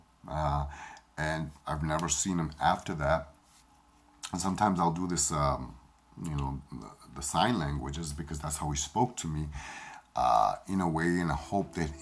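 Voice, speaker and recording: A man's very deep, low voice with a Spanish accent, ordinary pitch variation, a moderate pace and long, frequent pauses, over noticeable background noise. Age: 40s. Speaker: spiritual medium. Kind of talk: personal storytelling. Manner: halting.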